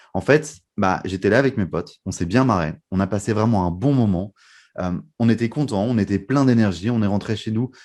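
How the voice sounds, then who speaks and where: Using a normal speaking voice, a man talks at a fairly low pitch and moderate pace with ordinary pitch variation against a quiet background. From northern France (Lille). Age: 20s. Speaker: magician and mentalist. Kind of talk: podcast interview.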